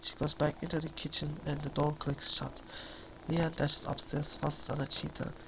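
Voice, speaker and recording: A soft-spoken voice at a moderate pace, with noticeable background noise. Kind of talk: audiobook reading.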